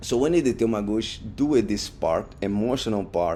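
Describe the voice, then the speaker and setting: A man with a non-native accent talks at a fairly slow pace, his fairly low pitch carrying a dark, mellow tone and ordinary pitch variation. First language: not English. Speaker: podcast host. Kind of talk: casual monologue. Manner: halting, with repetitions and fillers.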